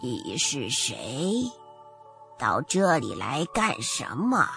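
Over clear background music, a man puts on a hoarse, raspy character voice, fairly high in pitch with very wide pitch swings, at a very slow pace. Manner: suspicious, gruff.

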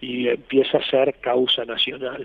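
This is a man's voice. His pitch sits at a medium level. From Argentina, Corrientes. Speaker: retired army officer, war veteran. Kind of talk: interview testimony.

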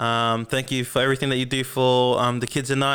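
In a very clean recording with a silent background, a man with an Australian accent speaks at medium pitch in a bright, sharp tone and a monotone, flat intonation. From Melbourne, Australia. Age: 20s. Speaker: podcast host. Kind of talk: casual monologue. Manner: halting, many fillers.

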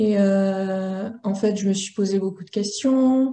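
The voice has a dark, mellow tone and is somewhat breathy. Its pitch shows ordinary variation. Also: woman. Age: 20s. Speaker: laboratory technician and interview guest. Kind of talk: personal testimony interview.

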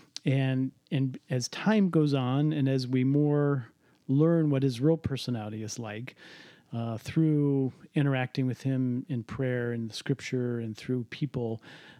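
A man with an American accent and a plain, everyday voice, fairly slow pace and ordinary pitch variation, on a very clean recording with a silent background and a dry, close sound with no echo. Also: medium pitch for a man. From US Midwest, Cleveland. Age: 50s. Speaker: entrepreneur and business coach. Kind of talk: casual interview conversation with son.

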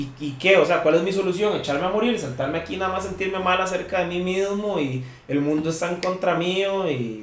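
A man with a Costa Rican accent speaks fairly quickly at a high pitch. His pitch varies in an ordinary way, and room echo is audible. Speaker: metal band vocalist. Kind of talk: casual chat. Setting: at a friend's home.

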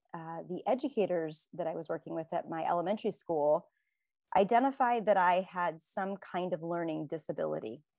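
A woman talks at a moderate pace, pitched fairly low. It is a normal speaking voice. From United States. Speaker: entrepreneur and business advisor. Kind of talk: interview.

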